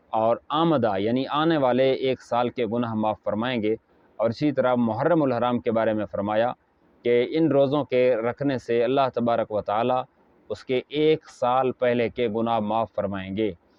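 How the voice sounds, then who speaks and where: A man speaks at medium pitch with an ordinary speaking voice. His intonation stays fairly even. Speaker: Islamic scholar. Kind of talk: religious sermon to camera.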